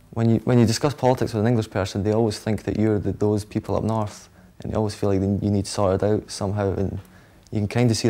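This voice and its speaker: Fairly low and dark, mellow in tone, a man talks in a Scottish accent. He goes at a very fast pace with monotone, flat intonation. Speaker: interviewee. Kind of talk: interview.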